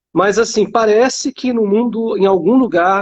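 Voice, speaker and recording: Extremely high male voice in a Rio de Janeiro accent, dry and close with no echo. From Rio de Janeiro, Brazil. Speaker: academic and startup founder. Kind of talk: panel discussion.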